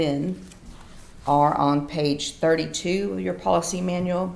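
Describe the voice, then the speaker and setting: A woman with a very deep, low pitch speaks at a fairly slow pace, with audible room echo. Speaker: county staff presenting personnel policy. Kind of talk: public meeting presentation. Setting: county commissioners court meeting. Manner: loud; hesitant with fillers.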